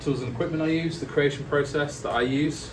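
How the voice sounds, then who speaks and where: Audible room echo and noticeable background noise accompany a man with a Lincolnshire accent speaking at a moderate pace. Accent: English Midlands (Lincolnshire). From England, Lincoln. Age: 40s. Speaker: illustrator. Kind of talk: guest talk to students. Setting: classroom with students. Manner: casual, hesitant with many fillers.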